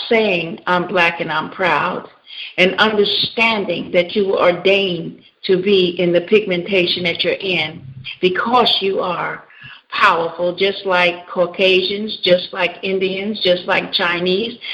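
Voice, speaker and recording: A woman speaks fairly slowly while noticeable background noise carries on. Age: 60s. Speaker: pastor and counselor. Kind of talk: radio interview. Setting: radio show.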